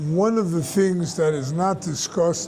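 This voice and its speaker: Speaking at a very slow pace, a man with a high pitch uses ordinary pitch variation amid audible room echo and noticeable background noise. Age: 80s+. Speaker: rabbi teacher. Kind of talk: question and answer talk.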